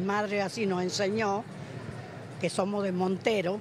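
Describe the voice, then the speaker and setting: Noticeable background noise around a woman at a moderate pace in a dry sound with no echo. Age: 80s+. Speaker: retiree; interviewee. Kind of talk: street interview. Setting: outdoors. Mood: frank, somewhat indignant. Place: hall. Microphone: handheld.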